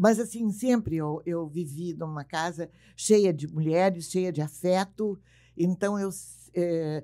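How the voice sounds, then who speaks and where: In a very clean recording with a silent background, a woman with a dark, mellow, fairly low voice speaks fairly slowly with fairly even intonation. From southern Brazil, Bagé, Rio Grande do Sul. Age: 80s+. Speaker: radio and TV broadcaster. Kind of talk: casual interview.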